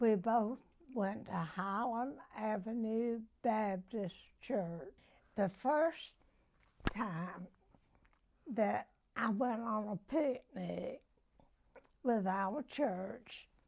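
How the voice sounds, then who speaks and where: A woman with an American accent speaks at a very slow pace and a fairly high pitch, with ordinary pitch variation and long, frequent pauses. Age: 80s+. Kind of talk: interview answer.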